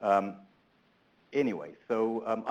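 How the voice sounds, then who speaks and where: A man speaks with a South African accent. His pitch is fairly low. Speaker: transportation researcher, keynote speaker. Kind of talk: conference keynote talk. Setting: conference room, also webinar. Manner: hesitant, many fillers.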